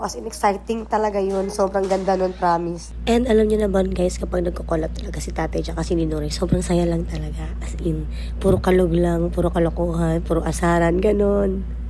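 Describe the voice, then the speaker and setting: A woman speaks at a fairly quick pace, her voice carrying audible room echo over noticeable background noise. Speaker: vlogger. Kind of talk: vlog voice-over narration. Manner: casual, chatty; stumbling over words.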